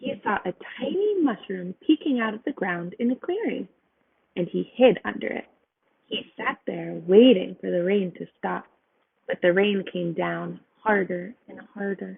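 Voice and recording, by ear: Speaking at a medium pitch and a fairly slow pace, a woman has lively intonation. Her voice carries vocal fry and a slightly husky edge.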